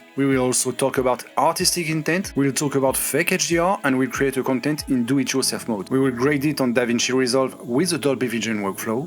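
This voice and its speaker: A man with a French accent at medium pitch, fairly quick and with hardly any pauses, his loudness very even and his pitch variation ordinary. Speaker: tech YouTuber. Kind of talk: tutorial. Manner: scripted dub reading.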